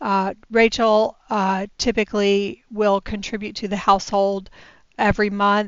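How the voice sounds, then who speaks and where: A woman speaks at a fairly slow pace in a flat, monotone delivery. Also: medium pitch for a woman. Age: 60s. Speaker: personal finance vlogger. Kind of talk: casual budgeting vlog. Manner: hesitant, many fillers.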